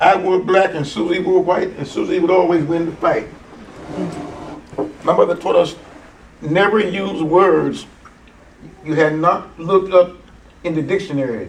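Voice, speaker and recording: A man with an American accent talks at a moderate pace in a high pitch, leaving long, frequent pauses. Noticeable background noise and audible room echo surround him. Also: ordinary pitch variation. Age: 80s+. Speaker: preacher and Bible teacher. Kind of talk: seminar teaching. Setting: church. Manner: conversational, interactive with audience.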